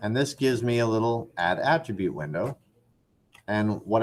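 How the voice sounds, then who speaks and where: The man has an unremarkable speaking voice. He keeps a moderate pace, and his intonation is lively. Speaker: 3D animation instructor. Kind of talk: tutorial. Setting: classroom.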